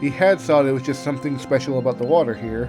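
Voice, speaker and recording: Fairly quick speech from a man over background music. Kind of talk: fanfiction audiobook reading. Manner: occasional stutters and pauses.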